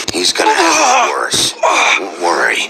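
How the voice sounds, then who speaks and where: Over loud background noise, a man does a raspy, put-on character voice at a fairly slow pace. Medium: machinima. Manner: terse, grim.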